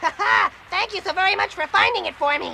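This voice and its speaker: This cartoonish character voice is squeaky and extremely high, moving at a fairly quick pace. Clear background noise sits behind it. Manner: polite.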